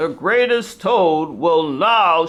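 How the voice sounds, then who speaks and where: A woman's put-on character voice, fairly low in pitch, with very wide pitch swings. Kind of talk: showman's announcement. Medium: read story.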